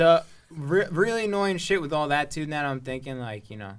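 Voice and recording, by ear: Captured in a very clean recording with a silent background, a man with an American accent talks at a moderate pace and medium pitch with ordinary pitch variation.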